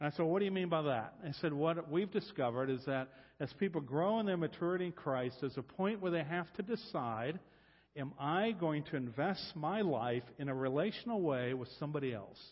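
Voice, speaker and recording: Lively in intonation, a man with an American accent talks at a fairly quick pace and a fairly high pitch. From US Midwest, Columbus, Ohio. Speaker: guest preacher, discipleship coach. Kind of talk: sermon.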